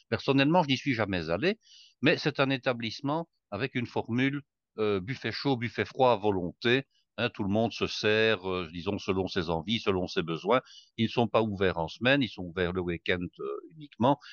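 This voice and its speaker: Against a quiet background, a man with a fairly low pitch speaks at a moderate pace with lively intonation, the sound dry and close with no echo. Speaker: cook sharing recipes. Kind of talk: casual chat.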